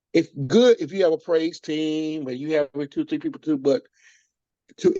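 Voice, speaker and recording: At a moderate pace, a man with an ordinary speaking voice and a fairly high pitch uses lively intonation. The sound is dry and close, with no echo. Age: 60s. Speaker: church minister of music. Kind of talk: interview conversation.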